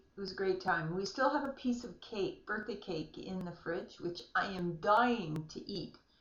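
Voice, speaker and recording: Woman at medium pitch, moderate pace, lively intonation and hardly any pauses, with audible room echo. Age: 60s. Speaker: vlogger with multiple sclerosis. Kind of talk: casual video diary. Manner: hesitant, many fillers.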